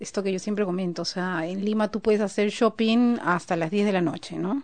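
Here is a woman with an unremarkable speaking voice. Her pitch is medium, with ordinary variation. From Peru. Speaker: guest. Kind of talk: casual chat. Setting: studio.

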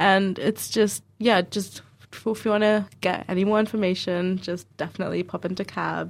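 A woman with a New Zealand accent, medium pitch and flat, monotone intonation, at a moderate pace, on a very clean recording with a silent background. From Dunedin, New Zealand. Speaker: recent graduate, radio presenter. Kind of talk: radio discussion.

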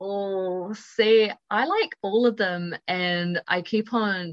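A woman with a New Zealand accent in a dry, close sound with no echo. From New Zealand, Upper Hutt. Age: 20s. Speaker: university student. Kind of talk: casual chat.

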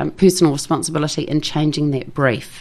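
Someone speaks at a moderate pace with a New Zealand accent. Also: woman. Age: 50s. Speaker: journalist. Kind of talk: casual chat. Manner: animated.

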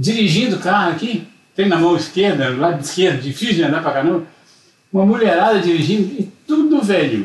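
Lively intonation marks the speech, which moves along at a fairly quick pace. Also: man, high pitch for a man. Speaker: visiting grandfather. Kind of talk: casual chat.

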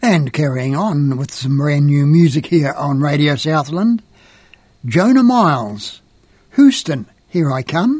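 A man speaks very slowly in a somewhat breathy voice at a fairly high pitch. His intonation is lively. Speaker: radio host. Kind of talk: radio DJ patter, announcing tracks and artists. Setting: radio studio broadcast.

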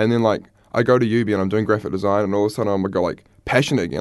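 Against a quiet background, a man speaks at a very fast pace with fairly even intonation. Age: 20s. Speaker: student guest. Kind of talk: casual chat. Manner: relaxed, chatty.

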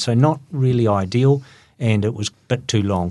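The speaker is a man with a New Zealand accent. The background is quiet. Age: 60s. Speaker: running event organizer. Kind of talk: interview.

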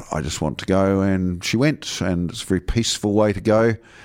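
A man speaks with a New Zealand accent. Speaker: radio pharmacist. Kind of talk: health advice radio show. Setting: radio studio. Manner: hesitant, many fillers.

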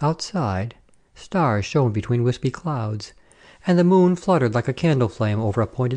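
Fairly lively intonation? No: Lively intonation throughout plain reading aloud

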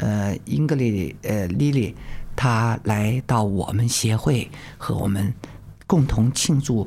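A woman speaks fairly slowly at a very deep, low pitch, with a dark, mellow tone, vocal fry and lively intonation. The recording is very clean with a silent background. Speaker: senior community association member. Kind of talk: presentation in Mandarin on radio.

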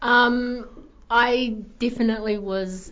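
The speaker has a New Zealand accent. Room echo can be heard in the recording. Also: woman. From New Zealand, Taranaki. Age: young. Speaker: graphic design student. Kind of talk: radio interview. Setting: radio studio.

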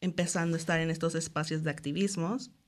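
A woman's fairly low voice against a quiet background. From Mexico, Cancún. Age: 20s. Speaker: festival committee member and illustrator. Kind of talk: radio interview. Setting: radio studio.

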